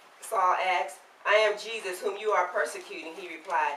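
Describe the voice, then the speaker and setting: A woman talks at a moderate pace and medium pitch against noticeable background noise. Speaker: church member reading scripture aloud. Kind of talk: Bible reading.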